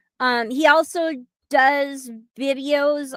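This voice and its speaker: A woman with fairly even intonation in a very clean recording with a silent background. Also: dry, close sound with no echo. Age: 60s. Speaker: livestream show host. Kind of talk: casual live-stream chat. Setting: live stream. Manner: halting, many fillers.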